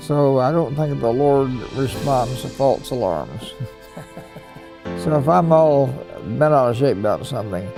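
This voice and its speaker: With music behind him, a man of medium pitch speaks at a fairly slow pace while his pitch swings very widely. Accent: American. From United States. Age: 80s+. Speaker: Pearl Harbor survivor, navy veteran. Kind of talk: interview answer.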